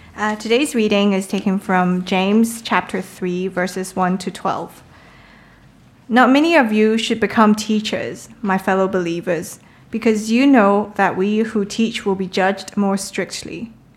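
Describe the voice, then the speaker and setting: A woman of medium pitch uses an ordinary speaking voice. She talks at a fairly slow pace with fairly even intonation. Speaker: scripture reader. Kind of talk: reading aloud.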